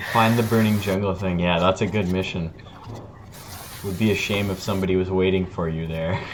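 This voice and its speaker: A man with a very deep, low voice speaks at a fairly quick pace in a flat monotone, with long, frequent pauses, audible room echo and noticeable background noise. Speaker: Minecraft server streamer. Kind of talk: casual chat. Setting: live stream.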